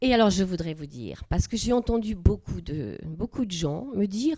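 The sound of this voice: With a dark, mellow tone, a woman speaks at a moderate pace with lively intonation.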